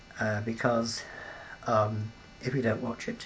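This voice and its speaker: Amid noticeable background noise, a man with a British accent speaks at medium pitch. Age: 70s. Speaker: peace campaigner. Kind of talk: interview. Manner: halting, many fillers.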